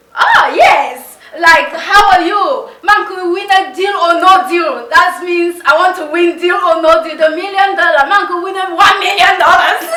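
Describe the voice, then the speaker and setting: A raised, projected voice with a bright, sharp tone goes at a fairly slow pace with hardly any pauses and big swings in loudness, and audible room echo surrounds it. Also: woman, extremely high pitch for a woman, ordinary pitch variation. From Cameroon. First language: Mundani. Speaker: game show contestant applicant. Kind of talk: interview. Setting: conference room.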